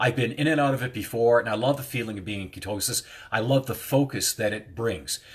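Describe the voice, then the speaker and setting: A man with a medium pitch and a somewhat breathy voice uses lively intonation in a very clean recording with a silent background. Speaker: hypnotist and life coach. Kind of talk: casual self-help talk to viewers. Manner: fast.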